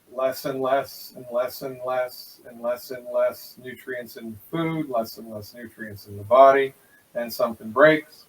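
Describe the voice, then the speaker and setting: Over noticeable background noise, a man of medium pitch speaks at a fairly slow pace with fairly even intonation. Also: big swings in loudness. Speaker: naturopathic doctor. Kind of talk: interview.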